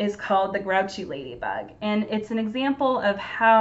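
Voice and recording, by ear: A natural voice reading aloud, its pitch moving in an ordinary way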